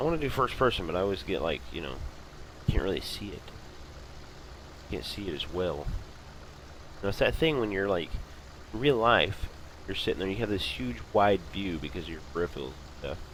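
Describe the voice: A man with a low pitch speaks at a moderate pace, making big pitch swings and long, frequent pauses.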